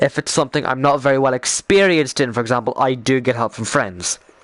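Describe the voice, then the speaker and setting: A man with an Irish accent talks at a fairly quick pace, his pitch medium with ordinary variation. The sound is dry and close with no echo, though background noise is noticeable. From Ireland. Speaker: gaming streamer. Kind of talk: casual chat. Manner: animated; halting.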